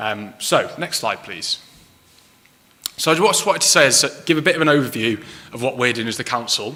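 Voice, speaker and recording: Over noticeable background noise, a man with a Manchester accent speaks very fast with lively intonation. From northern England, Manchester. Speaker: council climate officer. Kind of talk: public talk. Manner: hesitant, many ums.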